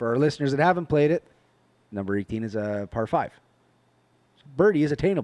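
A man's fairly high voice at a very fast pace, with long, frequent pauses, very wide pitch swings and a dry, close sound with no echo. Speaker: co-host. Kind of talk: casual chat about golf.

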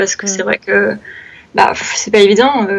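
This woman has a fairly high pitch. She keeps a moderate pace and fairly even intonation. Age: 20s. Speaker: freelance graphic designer and illustrator. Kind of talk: casual interview.

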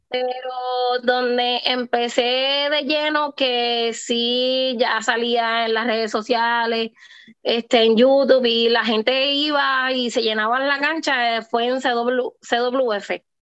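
A woman speaks at a very slow pace in a high pitch. Her intonation is monotone and flat. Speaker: professional wrestler. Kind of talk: interview.

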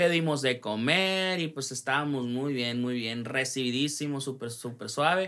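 A man with a northern Mexican accent, a bright, sharp tone and lively intonation, at a fairly slow pace, on a very clean recording with a silent background. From Mexico, Sonora (Ciudad Obregón). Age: 20s. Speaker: singer-songwriter and music producer. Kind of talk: casual interview.

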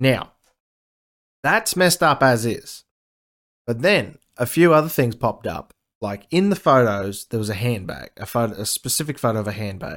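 Speaking with an Australian accent on a very clean recording with a silent background, a man keeps a moderate pace with long, frequent pauses and very wide pitch swings. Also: medium pitch for a man. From Queensland, Australia. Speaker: podcast host. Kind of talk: news commentary. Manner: casual; sarcastic, profane.

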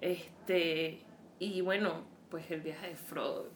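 Audible echo fills the room around a woman as she talks. Behind her runs noticeable background noise. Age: 30s. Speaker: podcast co-host. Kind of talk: casual chat.

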